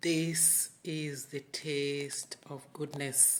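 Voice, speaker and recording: A woman with a Kenyan accent. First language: Luo. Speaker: home cook. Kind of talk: cooking tutorial.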